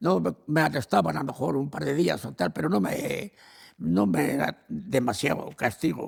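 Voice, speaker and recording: Very wide swings in pitch mark a man's fairly slow speech. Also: medium pitch for a man. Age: 80s+. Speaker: elderly man recalling his life. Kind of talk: interview answer. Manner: hesitant, repeats words.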